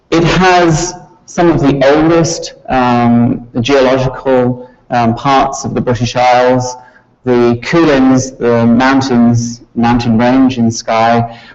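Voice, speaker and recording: A man speaks at a medium pitch and a very slow pace, his intonation fairly even, with audible echo from the room. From Scotland. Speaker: university professor. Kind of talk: lecture.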